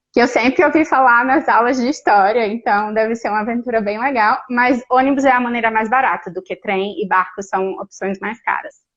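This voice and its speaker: A woman with an unremarkable speaking voice, fairly high in pitch, at a moderate pace with ordinary pitch variation. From Brazil, Natal (Northeast). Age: 30s. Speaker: Brazilian expat living abroad. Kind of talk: casual interview chat.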